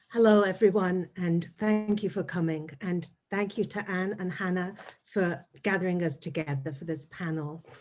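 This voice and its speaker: A woman with an English accent, at medium pitch and a moderate pace, with ordinary pitch variation. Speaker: anthropologist. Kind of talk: academic panel talk.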